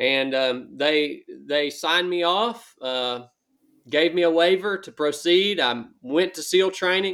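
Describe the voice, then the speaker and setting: In a very clean recording with a silent background, the speaker talks fairly slowly with a Southern US accent and ordinary pitch variation. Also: man. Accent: Southern US (Georgia). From US South, northwest Georgia. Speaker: former Navy SEAL and ultra runner. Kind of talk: interview conversation.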